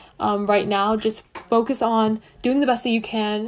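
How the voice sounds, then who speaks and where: Her intonation is monotone and flat. The woman's voice sits at a fairly high pitch. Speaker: student advice livestream host. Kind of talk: livestream Q&A. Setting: livestream. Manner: fast.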